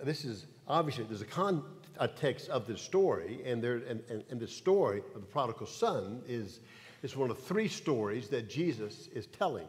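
At a moderate pace, a man speaks in a somewhat breathy voice with lively intonation. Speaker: Bible study teacher. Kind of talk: sermon. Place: church.

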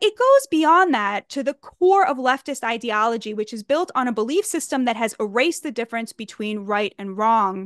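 A woman talks at a moderate pace with lively intonation and hardly any pauses. The sound is dry with no echo, over a quiet background. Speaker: writer giving commentary. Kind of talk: political commentary. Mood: earnest, indignant. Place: home room. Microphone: studio mic.

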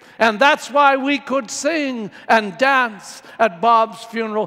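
A man speaks with an extremely high pitch and a bright, sharp tone, his voice raised and projected. He goes at a very slow pace over a quiet background. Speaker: priest giving homily. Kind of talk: homily. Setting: church. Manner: warm, earnest preaching. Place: church.

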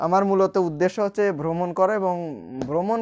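Fairly even intonation carries this man's high-pitched voice. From Bangladesh, Rajbari district; Bangladesh. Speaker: vlogger. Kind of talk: casual vlog monologue. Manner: halting. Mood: cheerful, smiling. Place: home room. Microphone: recording with a new external microphone; lapel.

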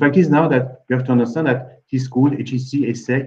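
With a dark, mellow tone, a man speaks in a somewhat breathy voice. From France. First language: French. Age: 50s. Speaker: admissions consulting founder. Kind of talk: webinar panel discussion. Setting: video call. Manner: halting. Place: office.

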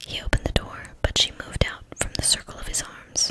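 Someone whispers throughout. The pace is moderate. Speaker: ASMR narrator. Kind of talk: whispered audiobook-style reading of a novel. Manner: whispered, soft.

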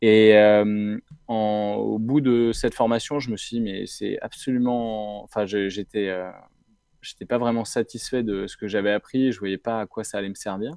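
A man talks at a fairly slow pace with a medium pitch, a dark, mellow tone and fairly even intonation, in a dry, close sound with no echo against a quiet background. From France, Brittany (Rennes). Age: 30s. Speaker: nonprofit co-founder, entrepreneur. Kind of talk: interview. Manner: hesitant, many fillers.

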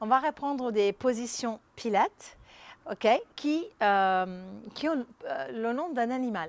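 Heard in a dry sound with no echo, a woman speaks at a high pitch with lively intonation. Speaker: pilates instructor. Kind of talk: exercise instruction. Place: garden.

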